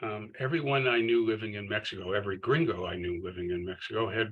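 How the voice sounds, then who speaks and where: Bright and sharp in tone, a man's voice sits at a fairly low pitch. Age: 70s. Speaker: author. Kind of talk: literary conversation, talking about his book. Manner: halting, many fillers.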